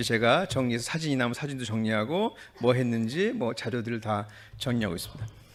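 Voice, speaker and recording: A man talks fairly quickly, his intonation lively, and the recording is very clean against a silent background. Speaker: doctor and hospital director. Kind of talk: conference presentation. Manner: fast; halting.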